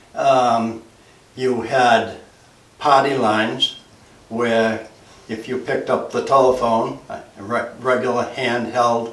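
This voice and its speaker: Over noticeable background noise and audible room echo, a man with an American accent speaks at a very slow pace and medium pitch. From New England, Massachusetts (Essex County). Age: 80s+. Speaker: retired fire chief and builder. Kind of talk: oral history interview. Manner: halting, with frequent fillers.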